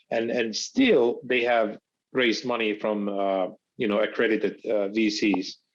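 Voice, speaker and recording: Speaking in a Finnish accent, a man keeps a moderate pace and a medium pitch. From Finland. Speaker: startup founder. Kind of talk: podcast interview. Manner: halting, many fillers.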